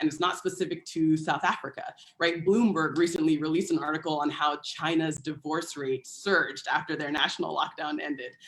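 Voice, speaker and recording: A woman with an American accent has an ordinary speaking voice, a fairly low pitch and fairly even intonation, and talks at a moderate pace. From United States. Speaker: public health partnerships coordinator. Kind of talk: panel talk.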